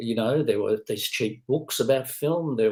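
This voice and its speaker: Somewhat breathy with a dark, mellow tone, a man speaks at a moderate pace with lively intonation. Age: 60s. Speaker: film critic and professor. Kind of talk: interview conversation.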